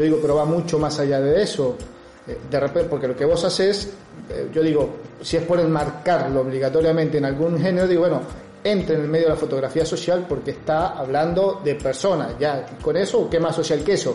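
A man's fairly high voice at a fairly quick pace, with fairly even intonation, audible room echo and noticeable background noise. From Argentina, Río Cuarto (Córdoba province). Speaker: podcast host. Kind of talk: interview. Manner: halting.

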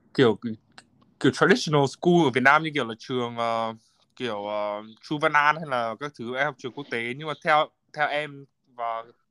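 A man's bright, sharp voice at medium pitch, fairly quick, with ordinary pitch variation, in a dry, close recording with no echo that is very clean against a silent background. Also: big swings in loudness. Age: 20s. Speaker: finance graduate working in the US. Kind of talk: casual chat.

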